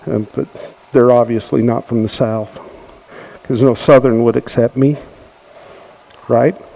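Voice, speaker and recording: An American accent at a moderate pace, with fairly even intonation and noticeable background noise. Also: man. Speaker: woodturning demonstrator. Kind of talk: tutorial demonstration.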